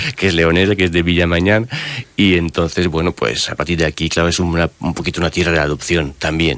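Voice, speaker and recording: A man talks at a fairly quick pace in a very deep, low pitch, keeping his loudness very even. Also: fairly even intonation. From France. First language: French (speaking Spanish). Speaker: author and personal development coach. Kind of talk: radio interview. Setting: radio studio. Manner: halting.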